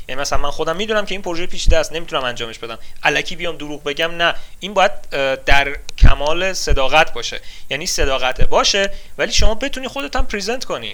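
Very fast speech with very wide pitch swings and big swings in loudness comes through noticeable background noise. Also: man, high pitch for a man. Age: 20s. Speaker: software engineer. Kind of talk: interview.

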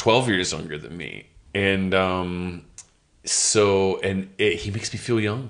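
Fairly low male voice at a very slow pace with big swings in loudness. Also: ordinary pitch variation. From Los Angeles, US. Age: 30s. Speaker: comedian. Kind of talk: casual chat. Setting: Edinburgh Fringe.

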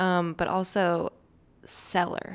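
On a very clean recording with a silent background, a woman with an American accent speaks with vocal fry. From Saint Louis, Missouri. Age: 30s. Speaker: singer. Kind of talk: casual chat. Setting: studio.

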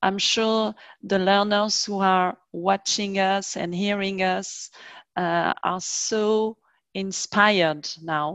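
Spoken very slowly in a French accent, the voice is monotone and flat against a quiet background. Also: woman, medium pitch for a woman. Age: middle-aged. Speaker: language teacher and podcast host. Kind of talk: interview. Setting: video call.

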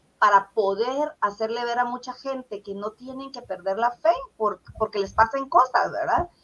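A woman in an ordinary speaking voice talks at a moderate pace, her fairly high pitch showing ordinary variation. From Guatemala (Zacapa, south coast). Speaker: poet and teacher. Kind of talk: interview.

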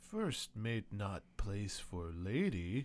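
A man speaks at a fairly low pitch in a put-on character voice. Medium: actual play. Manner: broken English, refers to himself in third person.

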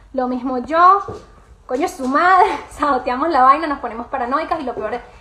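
In a Venezuelan accent, a woman talks in a raised, projected voice with an animated tone. Her pitch is high with ordinary variation, and background noise is noticeable. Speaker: podcast host and emotional wellbeing coach. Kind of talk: live Q&A chat.

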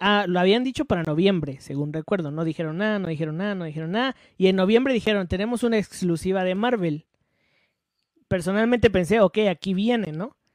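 Recorded dry and close with no echo, a man talks fairly quickly at a high pitch with ordinary pitch variation. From Guatemala. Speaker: podcast co-host. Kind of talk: casual chat.

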